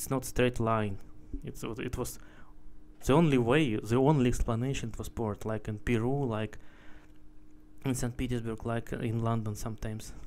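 In a Russian accent, a man speaks at a moderate pace with fairly even intonation. He leaves long, frequent pauses. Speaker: video blogger, traveler. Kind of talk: casual monologue, travel vlog. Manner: halting, searching for words; opinionated, indignant. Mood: curious, speculative. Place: street. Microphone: phone near.

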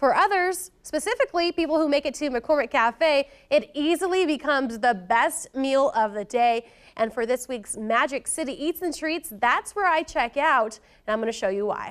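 Lively intonation moves along at a moderate pace over a quiet background. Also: woman, high pitch for a woman. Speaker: TV reporter. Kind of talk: news presenter intro. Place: studio.

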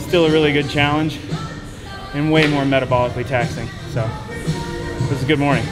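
A man at a very fast pace, clear music in the background. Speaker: athlete vlogger. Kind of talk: casual vlog chat. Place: gym.

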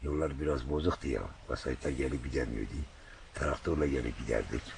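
A man with vocal fry, at a moderate pace. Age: 70s. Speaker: volunteer guardian of a crater lake area. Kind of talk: interview answer. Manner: hesitant, plain colloquial speech.

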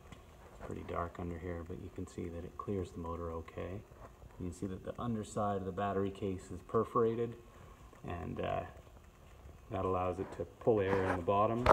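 The talking moves fairly quickly, and background noise is noticeable behind it. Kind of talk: casual show-and-tell explanation. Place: workshop. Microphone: phone near.

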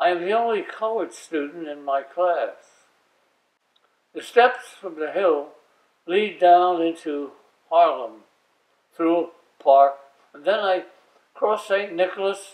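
A man with a high pitch speaks at a slow pace, with ordinary pitch variation and long, frequent pauses.

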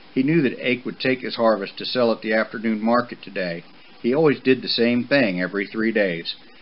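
Someone reads aloud here in a natural voice.

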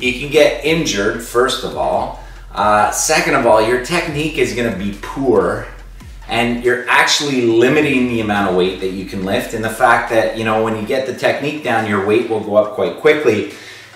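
Faint music plays behind a man speaking at a moderate pace. His pitch varies in an ordinary way, and room echo can be heard. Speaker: school fitness teacher. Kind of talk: workout instruction with advice. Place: home room. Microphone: camera far.

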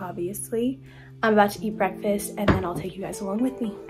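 Clear music plays in the background as a woman talks at a fairly quick pace. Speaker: college athlete vlogger. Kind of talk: casual vlog chat. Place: home room. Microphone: phone near.

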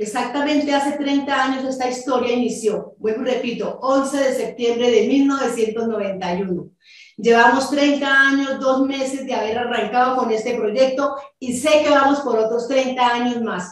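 A woman speaks at a fairly slow pace in a high-pitched voice. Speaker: network marketing businesswoman. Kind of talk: sales pitch. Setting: video call. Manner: animated.

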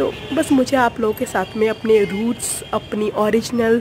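A woman speaks at a fairly slow pace in a fairly high pitch with a slightly mellow tone. Faint background noise is present.

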